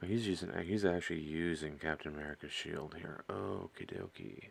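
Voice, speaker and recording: The speaker is a man with a very deep, low pitch. His pitch variation is ordinary and his pace moderate. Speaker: miniature painting streamer. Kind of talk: casual livestream chat while painting. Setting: live stream.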